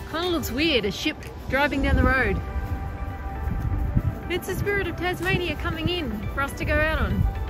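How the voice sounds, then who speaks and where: Speech at a moderate pace comes through with a dry sound and no echo, while clear music plays in the background. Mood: playful, lighthearted. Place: street. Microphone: phone near.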